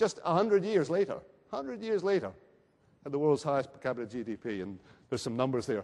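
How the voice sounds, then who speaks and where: A man speaks in a Scottish accent. His pitch swings very widely. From Scotland. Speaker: research centre speaker at a conference. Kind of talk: conference presentation. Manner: hesitant, with fillers.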